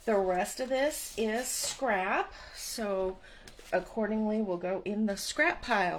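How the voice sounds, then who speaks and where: Against noticeable background noise, a woman with a fairly high pitch speaks at a very slow pace with ordinary pitch variation. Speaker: paper craft instructor. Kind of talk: tutorial. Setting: online class video. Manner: casual.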